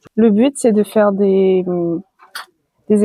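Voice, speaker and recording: The speech goes at a very slow pace with fairly even intonation. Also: woman. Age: 20s. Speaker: association president. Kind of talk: interview. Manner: hesitant, many fillers.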